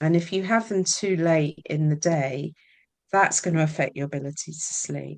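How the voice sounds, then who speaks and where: Against a quiet background, a woman in a Scottish accent talks at a moderate pace and fairly low pitch with ordinary pitch variation. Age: 60s. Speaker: menopause coach and artist. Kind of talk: interview. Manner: casual, hesitant with fillers.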